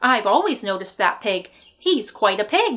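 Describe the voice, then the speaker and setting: Putting on a character voice, a woman talks at a moderate pace. Her pitch is medium and her intonation lively. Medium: read story. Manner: folksy, agreeable.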